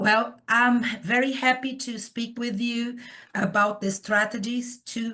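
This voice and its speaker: A woman speaks very slowly with a Portuguese accent, her pitch fairly high. Her tone is bright and sharp, with ordinary pitch variation. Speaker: professor. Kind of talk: lecture. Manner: hesitant, with fillers.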